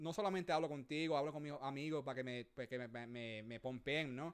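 A man with a plain, everyday voice talks at a moderate pace and a fairly high pitch, with ordinary pitch variation. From Puerto Rico (Manatí), raised partly in US. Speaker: podcast co-host. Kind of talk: casual bilingual chat. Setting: remote recording.

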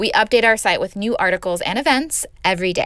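A woman speaks with a Californian accent and a fairly high pitch. Her intonation is lively and her pace moderate. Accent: Californian American English. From Los Angeles. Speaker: podcast host. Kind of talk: casual podcast monologue.

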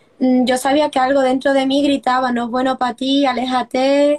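Her pitch high, a woman talks at a moderate pace. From Seville, southern Spain. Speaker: former course student sharing personal healing story. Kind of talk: personal testimony.

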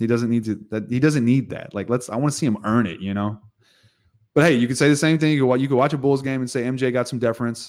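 In a very clean recording with a silent background, a man talks in a normal speaking voice. His pitch is medium and varies an ordinary amount. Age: 30s. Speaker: basketball podcast host. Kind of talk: casual chat.

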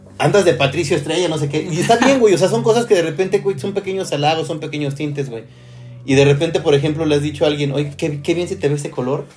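A man with a Mexican accent speaks in a fairly high voice with ordinary pitch variation. Noticeable background noise accompanies him. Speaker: podcast host. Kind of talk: casual chat. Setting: live stream.

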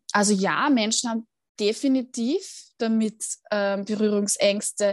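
Pitched at a medium level, a woman talks at a very slow pace with fairly even intonation. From Austria, Vienna. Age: 30s. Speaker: mental trainer and cancer patient. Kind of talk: interview testimony.

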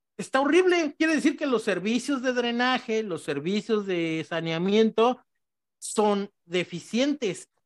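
This man's voice is high-pitched. It swings very widely in pitch. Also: fairly slow pace. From Mexico City. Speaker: podcast co-host. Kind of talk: casual discussion.

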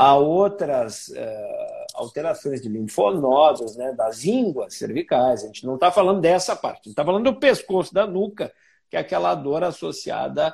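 With hardly any pauses, a man talks at a moderate pace while his loudness swings widely. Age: 40s. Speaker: doctor hosting a health live stream. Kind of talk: live stream interview. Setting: online live stream with viewers.

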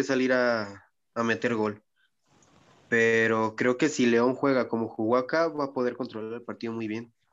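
A man at a medium pitch and a moderate pace. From Mexico, Michoacán. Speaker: podcast co-host. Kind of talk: casual chat.

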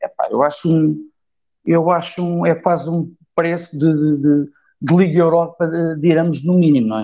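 A man with a high pitch and a dark, mellow tone speaks at a moderate pace with fairly even intonation, leaving long, frequent pauses. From Évora, Portugal. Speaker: football fan commentator. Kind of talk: online group discussion.

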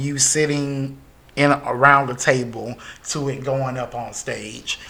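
A man with an American accent, a bright, sharp tone and a fairly high pitch at a fairly slow pace. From US South, Greenwood, South Carolina. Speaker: theatre company founder and artistic director. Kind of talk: casual chat.

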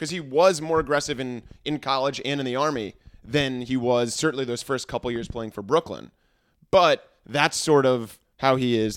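Here a man has a plain, everyday voice, medium in pitch with ordinary pitch variation, at a moderate pace. The recording is very clean, with a silent background. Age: 20s. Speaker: teacher. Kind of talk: casual chat.

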